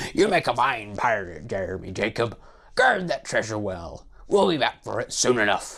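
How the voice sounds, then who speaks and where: Putting on a raspy character voice, a man talks at a medium pitch and a moderate pace. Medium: read story. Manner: bellowing, hearty pirate talk.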